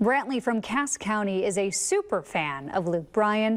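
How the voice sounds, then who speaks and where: A woman with an American accent has a plain, everyday voice, fairly high and with lively intonation, on a very clean recording with a silent background. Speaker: television news anchor. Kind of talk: TV news anchor delivery.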